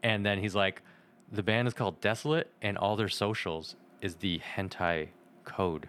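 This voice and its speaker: An unremarkable speaking voice from a man, fairly low in pitch, at a moderate pace with ordinary pitch variation and very even loudness, in a very clean recording with a silent background. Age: 30s. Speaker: podcast guest, anime fan. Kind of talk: casual chat.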